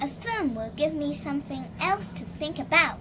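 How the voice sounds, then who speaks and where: A woman in a put-on character voice at a moderate pace, with big swings in loudness and clear background noise. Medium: read story.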